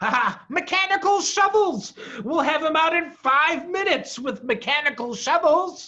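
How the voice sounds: A put-on character voice with a bright, sharp tone, lively intonation and a fairly slow pace. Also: man, extremely high pitch for a man.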